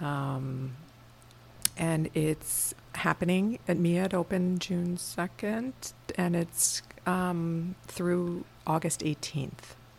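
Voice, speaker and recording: Very slowly, a woman speaks at a fairly low pitch in an American accent. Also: ordinary pitch variation. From US East Coast, rural Pennsylvania. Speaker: museum curator. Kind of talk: interview, casual chat. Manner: hesitant, many fillers.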